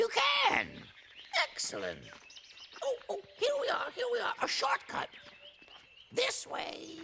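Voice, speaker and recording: An extremely high-pitched, put-on character voice speaks at a fairly slow pace with long, frequent pauses. Clear background noise can be heard. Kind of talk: formal, precise diction. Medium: audio drama. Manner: fussy, repeats phrases.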